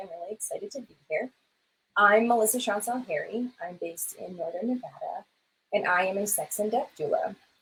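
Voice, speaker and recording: Speaking at a fairly quick pace with an American accent, a woman uses lively intonation. Her loudness swings widely. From US South. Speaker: death doula. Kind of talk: interview. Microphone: audio a little quiet.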